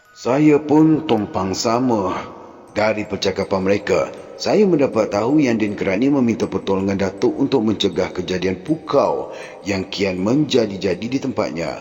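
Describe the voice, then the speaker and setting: With music in the background, a man speaks fairly slowly at medium pitch, his intonation lively. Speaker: storyteller. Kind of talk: horror novel reading. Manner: emotional.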